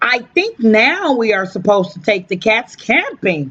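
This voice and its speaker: A put-on character voice that sounds female. It moves at a moderate pace. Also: fairly high pitch for a woman. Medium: read story.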